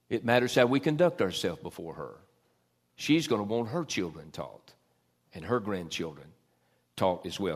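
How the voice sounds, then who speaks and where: In a very clean recording with a silent background, a man talks at a moderate pace. His pitch swings very widely, and he takes long, frequent pauses. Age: 50s. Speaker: pastor. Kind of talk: sermon. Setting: church.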